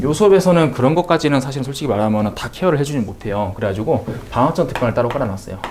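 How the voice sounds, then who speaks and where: With his pitch swinging very widely, this man talks in a fairly high voice. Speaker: math tutor. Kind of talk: course information talk to parents.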